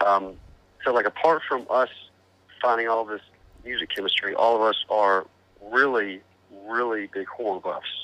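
A man with a medium pitch and a bright, sharp tone talks at a moderate pace. His intonation stays fairly even, broken by long, frequent pauses. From Arkansas. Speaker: metal band vocalist. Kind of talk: interview. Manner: halting.

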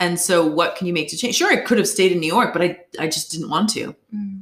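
A woman with an American accent uses an ordinary speaking voice and ordinary pitch variation. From Boston, Massachusetts, US. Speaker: journalist. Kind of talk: casual chat.

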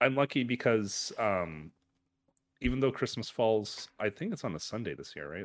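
A man with a Canadian accent and a fairly low pitch talks at a fairly quick pace in an unremarkable speaking voice. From Canada. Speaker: podcast co-host. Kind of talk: casual chat.

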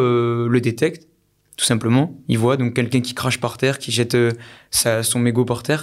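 A man with an ordinary speaking voice talks at a moderate pace and a medium pitch in a very clean recording with a silent background. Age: 20s. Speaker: entrepreneur and podcast co-host. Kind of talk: casual interview.

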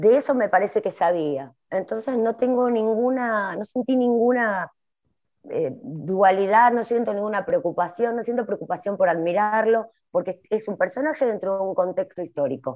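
At a moderate pace, a woman with a normal speaking voice, pitched fairly high, talks with lively intonation. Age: 40s. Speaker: writer. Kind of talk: casual chat.

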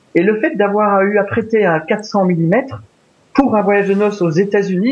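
A man speaks at a fairly slow pace. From Belgium. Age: 50s. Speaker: wildlife photographer. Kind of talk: interview.

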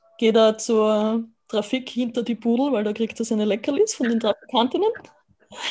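A woman's unremarkable speaking voice, fairly high in pitch, with fairly even intonation at a moderate pace. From Austria. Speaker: dog owner and dog sitter. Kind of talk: casual interview chat.

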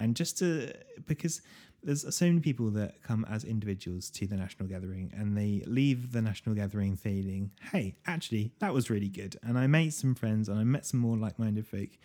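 A man with a British accent has a fairly low pitch, a dark, mellow tone and lively intonation. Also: fairly quick pace. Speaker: podcast host. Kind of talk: casual interview chat.

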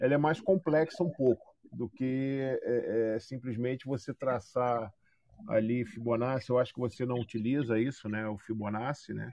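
At a fairly slow pace, a man talks in a plain, everyday voice at a medium pitch. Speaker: podcast co-host, crypto student. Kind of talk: casual chat.

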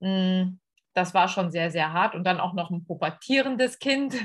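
Against a quiet background, a woman of medium pitch speaks at a fairly slow pace in a somewhat breathy voice. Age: 50s. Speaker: school integration assistant. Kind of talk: podcast interview. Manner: hesitant with many fillers.

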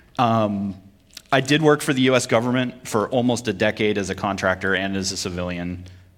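A man with an unremarkable speaking voice talks in an American accent at a fairly low pitch. His pace is fairly quick, with ordinary pitch variation. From Vermont, US. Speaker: preacher and military chaplain. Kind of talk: sermon.

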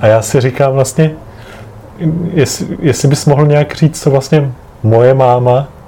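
Over noticeable background noise, a medium-pitched man talks at a fairly slow pace with fairly even intonation. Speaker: podcast host, grandson. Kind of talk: family interview. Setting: home apartment.

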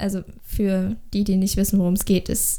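A woman's dark, mellow tone. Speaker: podcast co-host, amateur singer. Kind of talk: casual chat. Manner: nervous laughter.

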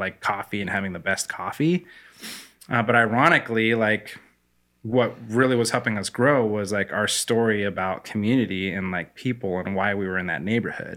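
A man with a Pacific Northwest accent speaks at a fairly low pitch in a bright, sharp tone. His pace is moderate, with ordinary pitch variation. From US Pacific Northwest, Spokane, Washington. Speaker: coffee company founder. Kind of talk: interview conversation.

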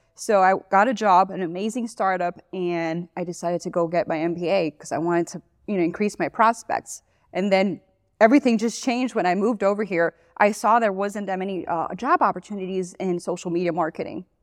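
A woman with a Miami accent, medium-pitched, fairly quick, with ordinary pitch variation and a dry, close sound with no echo against a quiet background. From Miami, Florida. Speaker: social media business owner. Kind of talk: casual interview. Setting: studio. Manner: fast talker.

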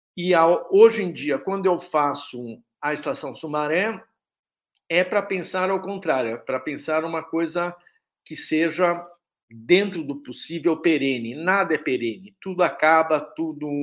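In a very clean recording with a silent background, a man with an ordinary speaking voice talks at a fairly slow pace, his fairly high pitch showing ordinary variation. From Brazil, São Paulo. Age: 60s. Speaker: artist. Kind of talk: interview.

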